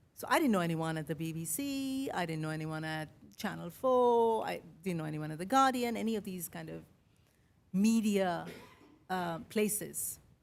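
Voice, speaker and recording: Audible room echo follows a woman who speaks at a moderate pace with a fairly low pitch and very wide pitch swings. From India, Mumbai. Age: 50s. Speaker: podcaster. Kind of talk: keynote speech. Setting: stage with audience.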